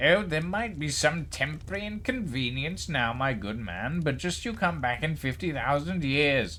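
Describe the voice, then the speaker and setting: Using a put-on character voice, a nasal man with a fairly high pitch talks at a moderate pace with hardly any pauses, over clear background noise. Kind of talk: posh, educated. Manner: pompous, condescending.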